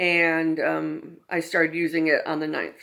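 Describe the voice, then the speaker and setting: On a very clean recording with a silent background, a woman speaks. Her voice is fairly low, and her pace is fairly slow. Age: 60s. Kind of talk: casual talk to camera. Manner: hesitant, many fillers.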